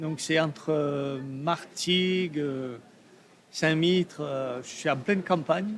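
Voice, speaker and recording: At a very slow pace, a man with fairly high pitch talks with ordinary pitch variation. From Provence, southern France. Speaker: artist. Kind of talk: interview. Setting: trade fair. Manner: hesitant, many fillers.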